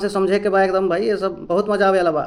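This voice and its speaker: A man with a Bihari accent speaks in a high pitch. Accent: Bhojpuri-accented Hindi and English. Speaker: English teacher. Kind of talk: English lesson to camera. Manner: casual, friendly.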